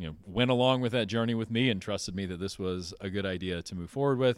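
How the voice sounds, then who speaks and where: With an ordinary speaking voice, a man talks at a fairly quick pace with ordinary pitch variation on a very clean recording with a silent background. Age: 40s. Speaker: CEO of a solar energy company. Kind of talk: onstage interview. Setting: stage with live audience.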